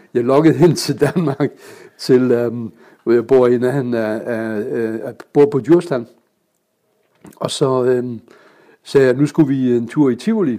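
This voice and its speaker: A man with a dark, mellow tone and medium pitch speaks at a fairly slow pace. He uses ordinary pitch variation and takes long, frequent pauses. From Germany (Kiel). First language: German (speaking Danish). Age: 70s. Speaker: pilot and public speaker. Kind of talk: casual interview. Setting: club room. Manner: hesitant, many fillers.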